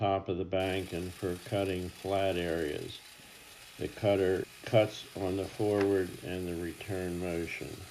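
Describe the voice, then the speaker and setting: A man speaks with a very deep, low pitch. His delivery is fairly slow, in a monotone, flat intonation. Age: 80s+. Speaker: inventor and fabricator. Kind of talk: DIY project explanation narration.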